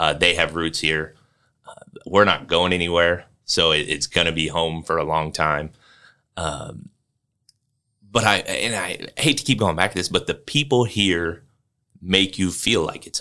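A man with a Midwestern American accent has a very deep, low pitch, a bright, sharp tone and ordinary pitch variation. He speaks at a fairly slow pace with long, frequent pauses, on a very clean recording with a silent background. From western Illinois. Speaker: career center director. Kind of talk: interview.

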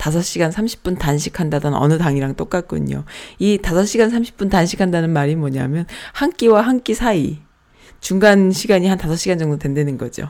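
Here a woman speaks at a moderate pace in a fairly low register. Her intonation is lively and her tone dark and mellow. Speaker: internet radio host. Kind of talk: casual radio talk with listener messages.

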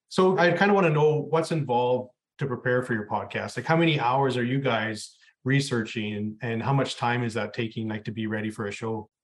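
A man talks fairly quickly, varying his pitch in an ordinary way. He has an unremarkable speaking voice at a medium pitch. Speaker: podcast host interviewer. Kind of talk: interview, intro monologue.

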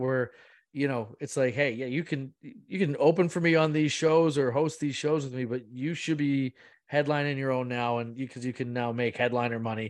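Against a quiet background, a man with a normal speaking voice talks at a medium pitch and a fairly quick pace with fairly even intonation. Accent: Canadian. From Muskoka, Ontario, Canada. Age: 30s. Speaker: stand-up comedian and producer. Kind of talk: interview.

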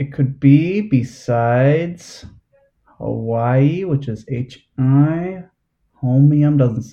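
A man with an American accent speaks with long, frequent pauses in a somewhat breathy, dark, mellow voice. His pitch is fairly high, with ordinary pitch variation. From New Jersey. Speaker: trivia host, quiz contestant. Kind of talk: quiz game play over video call. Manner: halting, many fillers.

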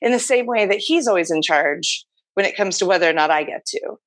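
A woman speaks at a medium pitch with lively intonation against a quiet background. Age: 30s. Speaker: podcast guest sharing experience of open marriage. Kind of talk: casual interview.

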